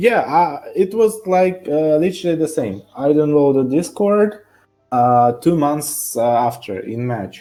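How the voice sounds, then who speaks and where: A man's fairly high voice in a Russian accent, with very wide pitch swings, a fairly slow pace and music in the background. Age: 20s. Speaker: online game player. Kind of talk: interview. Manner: halting.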